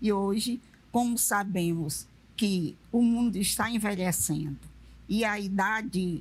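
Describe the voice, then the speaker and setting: Lively in intonation, a woman speaks at medium pitch in a somewhat breathy voice. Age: 70s. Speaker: retired railway worker. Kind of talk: panel discussion.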